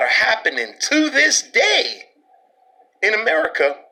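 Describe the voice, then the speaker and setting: A man with a New York accent talks at a fairly slow pace. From Brooklyn, New York. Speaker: podcast host. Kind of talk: social commentary monologue. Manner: animated.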